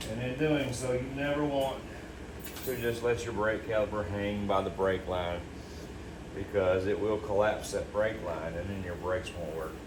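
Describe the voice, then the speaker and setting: With audible room echo and noticeable background noise, a man talks at a moderate pace and a fairly low pitch, with ordinary pitch variation. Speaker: DIY car repair video host. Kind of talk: tutorial. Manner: halting, repeats words.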